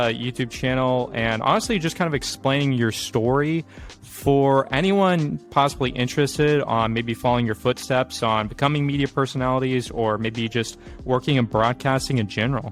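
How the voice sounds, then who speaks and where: With music in the background, a man speaks at a moderate pace and medium pitch, his pitch varying in an ordinary way. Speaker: podcast host. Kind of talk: interview questions.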